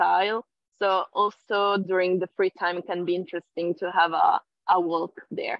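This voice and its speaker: Monotone, flat intonation from a woman at medium pitch, with an Italian accent at a moderate pace. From Italy. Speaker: NLP trainer. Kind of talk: casual interview on live video call. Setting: live online video stream.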